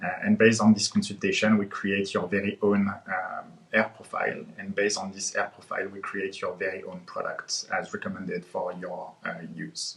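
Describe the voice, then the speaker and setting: This man has a French accent and barely pauses. His loudness swings widely. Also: moderate pace. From France. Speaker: head of growth marketing. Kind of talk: panel discussion. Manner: hesitant, many fillers.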